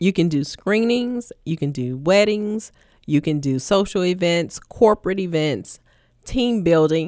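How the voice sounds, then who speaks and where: At a moderate pace, a woman with a fairly low pitch speaks in a normal speaking voice over a silent background in a very clean recording. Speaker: sales and marketing manager. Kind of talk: radio interview.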